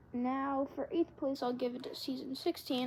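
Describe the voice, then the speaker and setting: Over noticeable background noise, a woman with a high-pitched voice talks fairly quickly with fairly even intonation. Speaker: YouTuber ranking TV seasons. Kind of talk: casual commentary video. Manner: hesitant with frequent fillers.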